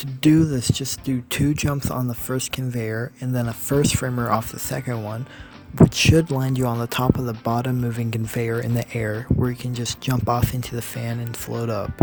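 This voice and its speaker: Music plays in the background as the speech moves at a moderate pace with monotone, flat intonation. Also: man, medium pitch for a man. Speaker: speedrunner. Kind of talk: game tutorial narration.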